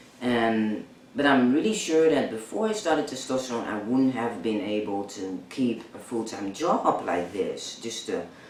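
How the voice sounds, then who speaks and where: Medium pitch from a man at a moderate pace with ordinary pitch variation, along with audible room echo and noticeable background noise. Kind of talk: personal vlog. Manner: halting, many fillers.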